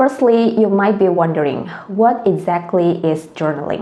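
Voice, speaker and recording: A woman with an Indonesian accent talks at a fairly slow pace and medium pitch, with ordinary pitch variation. Audible room echo and noticeable background noise fill the recording. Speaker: language tutor. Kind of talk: tutorial.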